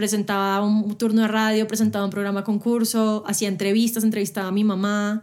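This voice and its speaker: On a very clean recording with a silent background, a woman with a fairly high pitch talks at a fairly quick pace in monotone, flat intonation with hardly any pauses. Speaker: radio and TV presenter, interviewer. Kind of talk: casual interview conversation. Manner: fast.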